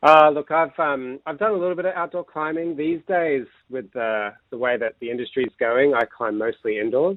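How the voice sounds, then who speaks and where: A man speaks in a plain, everyday voice with an American accent, lively intonation and a fairly quick pace. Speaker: climbing coach. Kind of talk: radio interview.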